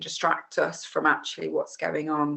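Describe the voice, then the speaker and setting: A woman with an English Midlands accent speaks in a very deep, low pitch. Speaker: yoga teacher. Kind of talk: casual instructional talk. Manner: relaxed with many fillers.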